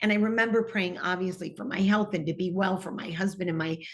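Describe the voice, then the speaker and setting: Her intonation fairly even, a woman speaks with an American accent. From US Midwest, Detroit, Michigan. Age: 60s. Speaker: TV personality. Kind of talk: interview testimony.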